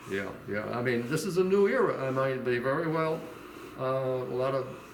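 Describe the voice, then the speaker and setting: Noticeable background noise accompanies a man whose pitch is medium. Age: 80s. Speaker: retired steel company marketing director. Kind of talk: interview answer, casual advice to young people.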